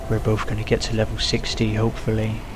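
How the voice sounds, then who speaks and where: Music plays behind a man with a strong British accent who speaks at a moderate pace in a room with audible echo. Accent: British, self-described as strong. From UK. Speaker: gaming video creator. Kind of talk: let's play commentary. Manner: animated.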